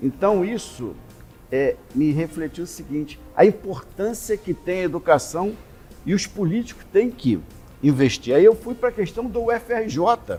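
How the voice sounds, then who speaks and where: Over music in the background, a man with a high voice speaks at a fairly slow pace with lively intonation. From Rio de Janeiro, Brazil. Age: 60s. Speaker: politician. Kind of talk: interview.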